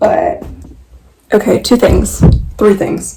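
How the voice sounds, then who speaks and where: Noticeable noise fills the background. A woman talks over it. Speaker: lifestyle vlogger. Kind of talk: try-on haul vlog. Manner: casual, filler-heavy.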